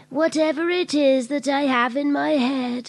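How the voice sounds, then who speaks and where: A woman puts on a character voice pitched high. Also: moderate pace. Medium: comedy sketch. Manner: slow, hesitant.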